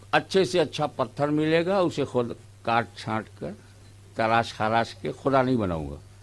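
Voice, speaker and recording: A man with a medium pitch speaks with very wide pitch swings. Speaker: Islamic preacher giving a sermon. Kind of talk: religious sermon to a live audience (jalsa). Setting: public gathering, live jalsa recording.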